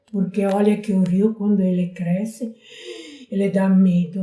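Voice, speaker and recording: A woman's medium-pitched voice has a dark, mellow tone and sounds somewhat breathy. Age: 80s+. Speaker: local resident, elderly interviewee. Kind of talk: oral history interview.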